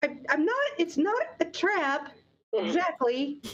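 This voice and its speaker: In a put-on character voice, a woman speaks with a squeaky, high pitch. Her pace is fairly slow. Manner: hesitant, sheepish.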